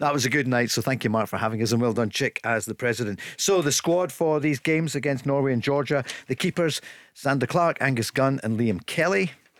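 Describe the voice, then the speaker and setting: In a very clean recording with a silent background, a man uses a normal speaking voice at medium pitch, talking at a fairly quick pace with ordinary pitch variation. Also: very even loudness. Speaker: radio host. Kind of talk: casual chat. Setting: studio.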